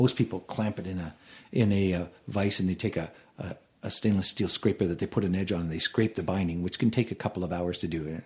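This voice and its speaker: A man speaks with a Canadian accent at a very fast pace. His voice is somewhat breathy. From Edmonton, Alberta, Canada. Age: 50s. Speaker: bluegrass banjo player and luthier. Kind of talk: casual interview.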